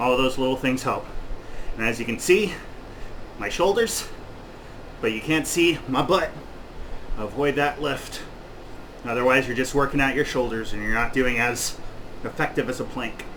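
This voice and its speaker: Amid noticeable background noise and audible room echo, a man talks at a moderate pace with ordinary pitch variation and long, frequent pauses. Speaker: personal trainer. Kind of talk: workout instruction. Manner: loud; out of breath.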